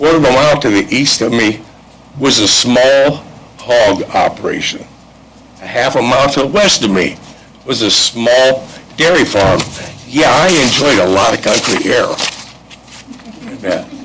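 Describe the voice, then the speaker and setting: Speaking at a moderate pace with long, frequent pauses, the voice holds very even loudness and ordinary pitch variation over noticeable background noise. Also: man, medium pitch for a man. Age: 70s. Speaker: local resident speaking at public hearing. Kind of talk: public comment.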